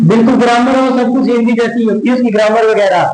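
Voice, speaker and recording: Amid noticeable background noise and audible room echo, a man with an extremely high voice speaks with fairly even intonation. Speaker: tutor. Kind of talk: lecture. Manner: casual, conversational.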